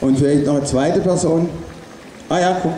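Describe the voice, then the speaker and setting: Over light background noise and audible room echo, a man talks at a moderate pace with fairly even intonation. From Stuttgart area, Swabia, Germany. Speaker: artist and protest speaker. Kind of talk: rally speech. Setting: outdoor demonstration with PA system. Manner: loud. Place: street.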